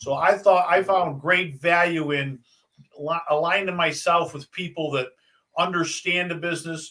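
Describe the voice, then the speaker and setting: A man speaks at a moderate pace. His pitch is high. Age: 60s. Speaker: retired military, note investor and realtor. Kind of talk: interview. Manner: halting, many fillers and repeats.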